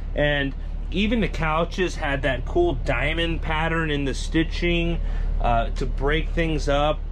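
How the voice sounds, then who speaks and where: At a very slow pace, a man speaks while light background noise sits underneath. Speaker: RV YouTuber. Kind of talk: casual walkthrough video. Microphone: phone near.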